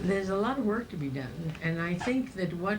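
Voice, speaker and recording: The woman talks at a fairly slow pace. Her voice comes with audible room echo amid noticeable background noise. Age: 80s+. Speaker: alumna giving advice. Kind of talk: interview.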